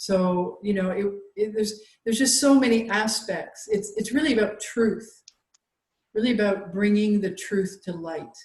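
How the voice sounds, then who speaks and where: Somewhat breathy, a woman speaks at a medium pitch and a moderate pace. Her pitch varies in an ordinary way, and audible room echo is present. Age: 60s. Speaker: holistic health practitioner. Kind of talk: casual interview conversation. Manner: halting, many fillers.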